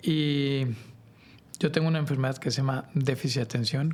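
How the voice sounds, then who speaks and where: A man with a Mexican accent speaks at a fairly quick pace with fairly even intonation. His voice is fairly high and somewhat breathy. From Mexico. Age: 30s. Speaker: podcast creator. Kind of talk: casual chat. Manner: conversational, informal.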